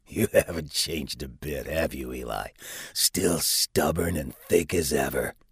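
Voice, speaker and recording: This put-on character voice moves at a moderate pace with ordinary pitch variation. The sound is dry and close, with no echo. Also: man, very deep, low pitch for a man. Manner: smug, snide, teasing.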